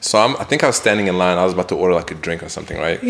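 Against noticeable background noise, a man with a very deep, low pitch and ordinary pitch variation talks at a very fast pace. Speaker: podcast co-host. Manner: casual, talkative.

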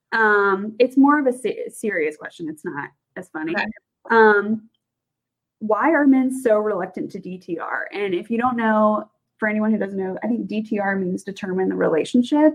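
With a normal speaking voice, a woman talks at a moderate pace and fairly high pitch, her pitch variation ordinary and her loudness swinging widely. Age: 20s. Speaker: podcast co-host. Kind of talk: casual chat.

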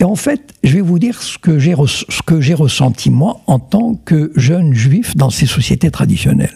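Lively intonation and a very slow pace from a man with a fairly high pitch. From Morocco, Meknès. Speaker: writer. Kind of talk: interview. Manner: halting.

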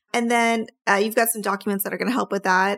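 The speaker sounds excited and animated. The recording is very clean, with a silent background. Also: woman. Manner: excited, animated.

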